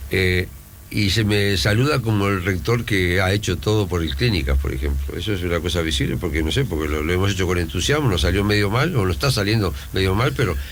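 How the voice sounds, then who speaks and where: With a very deep, low pitch, a man talks at a fairly quick pace with lively intonation and very even loudness, amid noticeable background noise and audible room echo. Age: 70s. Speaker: university rector. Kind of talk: radio interview.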